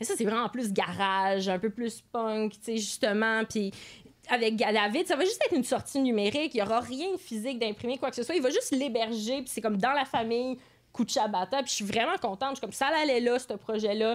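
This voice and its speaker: Speaking at a fairly quick pace, a woman uses an ordinary speaking voice that sits fairly high with ordinary pitch variation. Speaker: musician and music teacher. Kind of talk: casual chat.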